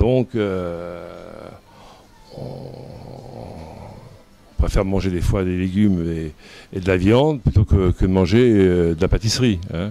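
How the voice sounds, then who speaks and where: With a very deep, low pitch, a man speaks at a very slow pace yet with lively intonation. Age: 60s. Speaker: pastry chef. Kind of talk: interview, personal storytelling. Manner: hesitant, many fillers and repetitions.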